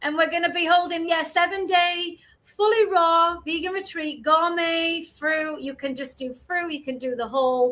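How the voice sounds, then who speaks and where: With a strong Yorkshire accent, a woman speaks in a raised, projected voice of extremely high pitch and bright, sharp tone, keeping a moderate pace with hardly any pauses and ordinary pitch variation. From Yorkshire, northern England. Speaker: podcast co-host, retreat organiser. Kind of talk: casual chat.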